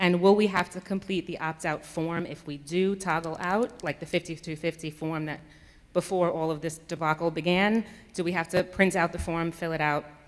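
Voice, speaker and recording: This woman has an ordinary speaking voice, with a fairly low pitch, fairly even intonation and a moderate pace. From New York. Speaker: parent speaking at school board meeting. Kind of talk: public comment.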